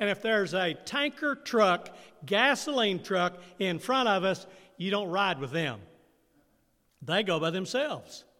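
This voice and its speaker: A man speaks at a fairly slow pace in a raised, projected voice that is high-pitched, with a bright, sharp tone. His intonation is lively, and his pauses are long and frequent. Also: very clean recording, silent background. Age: 80s+. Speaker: pastor. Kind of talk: sermon. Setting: church. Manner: call-and-response questions.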